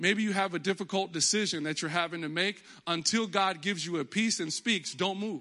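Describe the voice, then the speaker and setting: A man's raised, projected voice in an American accent, high-pitched, bright and sharp, animated in tone, with ordinary pitch variation and a fairly quick pace. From Texas. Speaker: pastor. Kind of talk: sermon. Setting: church.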